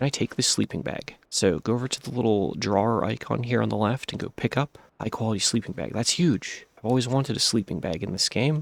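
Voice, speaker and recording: Vocal fry runs through speech at a very fast pace. The sound is dry and close, with no echo. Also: man. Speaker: gaming YouTuber. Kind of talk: gameplay tutorial commentary.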